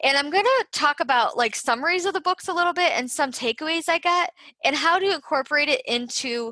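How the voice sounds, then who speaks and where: Projecting her voice, a woman speaks in a bright, sharp tone with very wide pitch swings, in a dry, close sound with no echo. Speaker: podcast host, nurse turned health writer. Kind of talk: solo podcast talk. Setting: live on Facebook while recording podcast.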